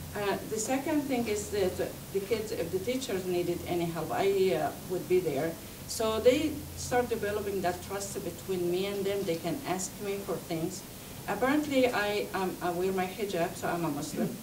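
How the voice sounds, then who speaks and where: With a non-native accent, a woman speaks at a moderate pace and medium pitch with lively intonation, amid audible room echo and noticeable background noise. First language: not English. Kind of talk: talk to an audience. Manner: halting.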